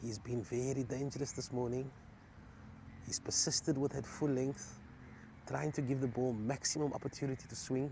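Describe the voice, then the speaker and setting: A somewhat breathy man speaks in a dark, mellow tone at a medium pitch, with fairly even intonation and long, frequent pauses. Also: moderate pace. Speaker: cricket commentator. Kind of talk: live commentary.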